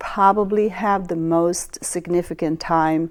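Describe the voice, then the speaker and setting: With a slight Swedish accent, a woman speaks in a dark, mellow tone with ordinary pitch variation. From Sweden. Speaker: astrologer. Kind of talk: lecture. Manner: halting.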